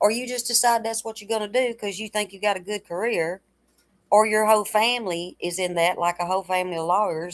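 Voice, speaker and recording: A woman talks at a fairly quick pace in a plain, everyday voice. Her pitch sits in the medium range with ordinary pitch variation. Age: 60s. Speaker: livestreamer and home health caregiver. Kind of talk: casual livestream chat. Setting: live stream.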